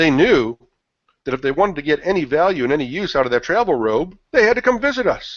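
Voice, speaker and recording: Speaking at a fairly quick pace, a man with a fairly high pitch makes very wide pitch swings. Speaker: marketing consultant presenting a webinar. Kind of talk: webinar presentation. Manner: fast.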